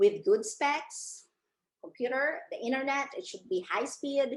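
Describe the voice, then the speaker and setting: A woman's high-pitched voice with very wide pitch swings at a very slow pace. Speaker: freelancing coach. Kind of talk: webinar presentation. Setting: online webinar.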